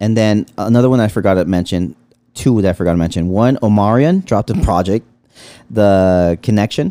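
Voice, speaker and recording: Recorded with a dry, close sound and no echo, a man with an American accent talks at a fairly quick pace in a dark, mellow tone with ordinary pitch variation. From Los Angeles, San Fernando Valley (Pacoima). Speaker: podcast co-host. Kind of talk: casual chat.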